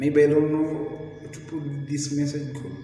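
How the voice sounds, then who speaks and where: A man with a fairly high pitch speaks at a fairly slow pace, with audible room echo and noticeable background noise. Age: 30s. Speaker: vlogger. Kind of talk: motivational talk. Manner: halting.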